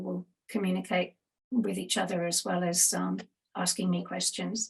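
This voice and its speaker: Speaking at a moderate pace, a woman has an Australian accent. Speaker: conference host and webinar organiser. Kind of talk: conference welcome and introduction. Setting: online webinar.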